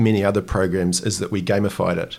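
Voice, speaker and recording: A man talks at a fairly quick pace with a fairly low pitch. His pitch shifts in an ordinary way. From New Zealand, Dunedin. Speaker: founder and CEO of a financial education company. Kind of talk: interview conversation. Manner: hesitant with fillers.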